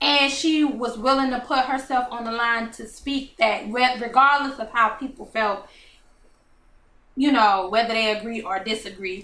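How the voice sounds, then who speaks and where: A woman's fairly high voice with a bright, sharp tone, fairly even intonation, big swings in loudness, a moderate pace and audible room echo. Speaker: talk show host. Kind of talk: casual chat. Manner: slurring slightly.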